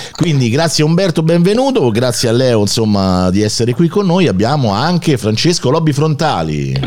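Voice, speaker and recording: Over noticeable background noise, a man speaks at a medium pitch with very wide pitch swings. His pace is moderate, his loudness very even, and he hardly pauses. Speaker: radio host. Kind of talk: casual chat.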